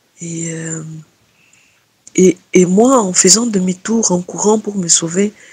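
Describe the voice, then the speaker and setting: Somewhat breathy woman's voice, fairly low in pitch, at a very slow pace with fairly even intonation, dry and close with no echo. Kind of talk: testimony. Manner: halting.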